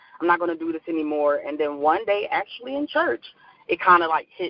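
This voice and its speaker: The speaker talks at a moderate pace with a Philadelphia accent. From US Northeast, Philadelphia. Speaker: life coach. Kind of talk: interview.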